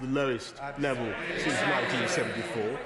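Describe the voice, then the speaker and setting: A man speaks with a British accent. Noticeable background noise runs underneath. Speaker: prime minister, politician. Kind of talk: parliamentary debate speech.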